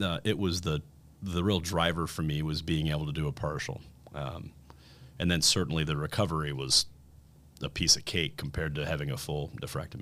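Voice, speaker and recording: An American accent with vocal fry, fairly even intonation, a fairly quick pace and long, frequent pauses. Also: man, very deep, low pitch for a man. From Indiana, US Midwest. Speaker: kidney cancer survivor. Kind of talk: testimony.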